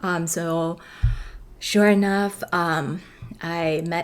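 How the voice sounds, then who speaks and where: A woman with a Chinese accent speaks at a very slow pace. Her pitch is fairly low, with ordinary pitch variation. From China. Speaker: actress. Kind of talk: casual storytelling vlog. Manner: hesitant, many fillers.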